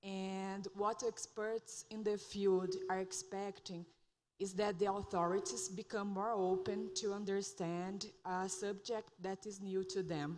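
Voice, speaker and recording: Speaking in a Portuguese accent, a woman uses a medium pitch and monotone, flat intonation at a fairly slow pace. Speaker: lawyer, audience member. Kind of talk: audience comment.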